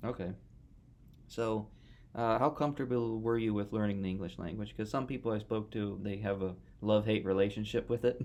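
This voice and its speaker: The speaker has an American accent and a fairly quick pace. Intonation stays fairly even. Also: man, fairly low pitch for a man. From United States. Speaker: podcast host, math graduate student. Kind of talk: casual interview chat. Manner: casual.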